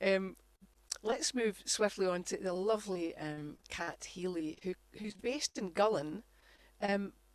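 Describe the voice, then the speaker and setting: A woman at a medium pitch and fairly slow pace, with ordinary pitch variation. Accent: Scottish. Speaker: singer and event co-host. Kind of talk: casual chat.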